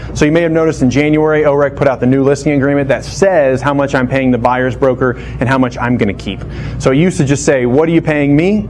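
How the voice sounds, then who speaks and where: Music plays in the background as a man talks at a very fast pace and a fairly high pitch, intonation fairly even, with audible room echo. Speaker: real estate trainer. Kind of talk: lecture.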